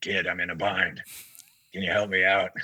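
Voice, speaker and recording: Doing a raspy put-on character voice at a fairly low pitch, a man speaks at a moderate pace over music in the background. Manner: urgent, asking for help.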